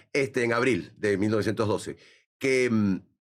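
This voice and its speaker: A man with an ordinary speaking voice at a fairly slow pace, ordinary pitch variation, in a very clean recording with a silent background. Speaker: radio announcer and university lecturer. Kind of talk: interview answer.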